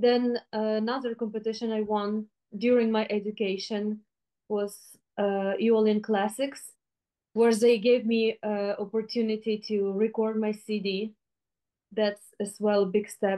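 In a Ukrainian accent, a woman talks at a fairly high pitch and a fairly slow pace. Her intonation is monotone and flat, against a quiet background. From Ukraine. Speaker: flutist. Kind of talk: interview. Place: home room.

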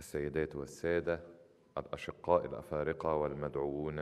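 In a monotone, flat delivery, a man with a very deep, low pitch talks at a moderate pace. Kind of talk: formal speech. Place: hall. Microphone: podium.

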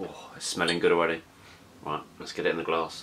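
A man talks at a fairly quick pace in a low, fairly bright voice with monotone, flat intonation.

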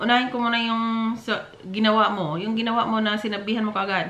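A woman speaks at a fairly quick pace, with room echo audible around her. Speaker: dating advice vlogger. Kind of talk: casual vlog chat, reading viewer comments. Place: office. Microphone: camera far.

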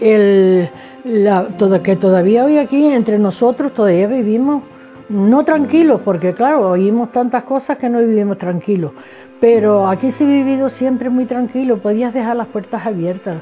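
Speaking at a moderate pace with ordinary pitch variation, a woman with a Canarian accent has a fairly high voice, and faint music plays in the background. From Canary Islands. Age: 70s. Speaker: craftswoman; interviewee. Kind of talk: interview testimony. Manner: halting. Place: home room.

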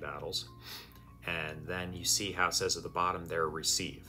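Over light background noise, a man with a very deep, low pitch speaks at a fairly quick pace in a bright, sharp tone. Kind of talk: tutorial commentary. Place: home room.

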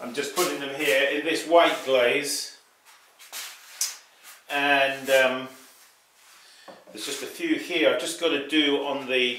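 Very slow and broken by long, frequent pauses, a man's fairly even voice comes through with audible room echo and light background noise. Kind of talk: casual vlog chat. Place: workshop.

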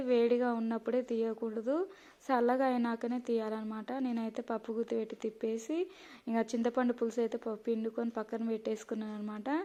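A woman speaks at a fairly high pitch with a dark, mellow tone and monotone, flat intonation. The recording is very clean with a silent background. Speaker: cooking vlogger. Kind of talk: cooking tutorial. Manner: halting, stumbling over words; casual, chatty.

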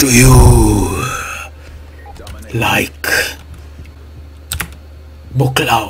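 Over clear background noise, a man performs a put-on character voice. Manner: serious.

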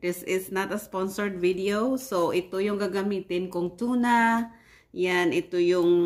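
A woman talks very slowly, her pitch varying in an ordinary way. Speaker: home cook vlogger. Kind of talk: casual cooking vlog chat. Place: kitchen. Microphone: phone near.

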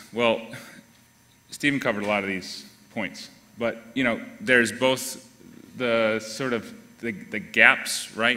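Pausing long and often, a man speaks at a fairly slow pace with medium pitch and fairly even intonation. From northern US. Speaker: shared mobility nonprofit staff; conference presenter. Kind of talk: panel presentation. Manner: halting. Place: hall.

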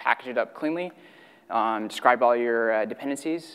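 Ordinary pitch variation marks the speech of a man who talks at a moderate pace. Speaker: conference presenter. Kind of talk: technical talk. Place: hall. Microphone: podium.

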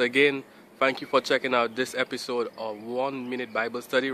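A man talks at a moderate pace and medium pitch in a bright, sharp tone.

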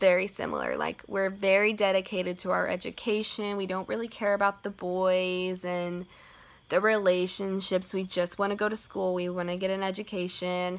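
Her intonation is monotone and flat. The woman speaks at a moderate pace. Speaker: book vlogger. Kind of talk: casual vlog chat. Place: home room. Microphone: phone near.

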